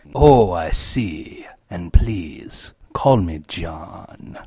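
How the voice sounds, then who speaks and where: A man speaks in a put-on character voice, very deep and low, at a very slow pace. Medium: audio drama. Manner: smarmy, self-satisfied.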